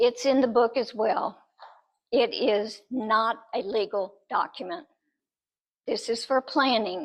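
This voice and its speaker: A woman with an American accent speaks very slowly, leaving long, frequent pauses. Her voice sits fairly high, with ordinary pitch variation. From Texas, Austin. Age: 70s. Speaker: nurse and author. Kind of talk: presentation talk.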